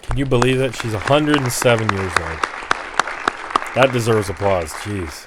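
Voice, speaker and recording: Over crowd noise in the background, a man with a medium-pitched voice talks at a moderate pace, with ordinary pitch variation and long, frequent pauses. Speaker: political commentator. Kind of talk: casual commentary to camera.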